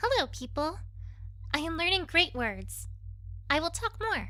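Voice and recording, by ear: Putting on a character voice, a woman speaks at an extremely high pitch with big pitch swings, a bright and sharp tone, and a fairly slow pace.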